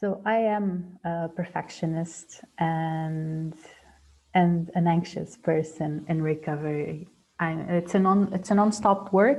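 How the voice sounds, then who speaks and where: Very slowly and somewhat breathily, a woman with a non-native accent talks at a fairly low pitch with ordinary pitch variation. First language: not English. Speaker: dentist and mindfulness trainer. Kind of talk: webinar presentation. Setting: video call. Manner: halting, many fillers and repetitions.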